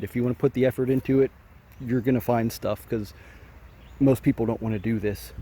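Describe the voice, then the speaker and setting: A man speaks at a fairly quick pace in a dark, mellow tone that is somewhat breathy. The sound is dry and close, with no echo. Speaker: metal detecting youtuber. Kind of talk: casual vlog narration. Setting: outdoors.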